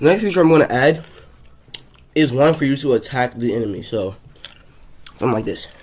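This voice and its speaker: Through noticeable background noise, a man talks at a moderate pace and medium pitch. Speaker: game-dev YouTuber. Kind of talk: tutorial-style devlog commentary. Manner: casual, with fillers.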